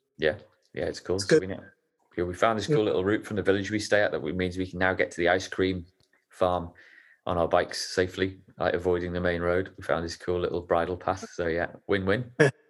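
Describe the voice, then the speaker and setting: Speaking very fast with an English accent, a man has a very deep, low pitch and fairly even intonation in a very clean recording with a silent background. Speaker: podcast host. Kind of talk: casual chat.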